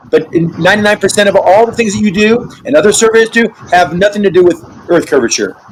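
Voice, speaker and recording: A man races along at a very fast speed, with noticeable noise behind him. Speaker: online debate participant. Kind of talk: heated debate.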